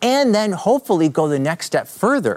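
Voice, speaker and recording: This is a man speaking with a Canadian accent. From Canada. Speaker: apologetics speaker and YouTube creator. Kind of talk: casual interview chat.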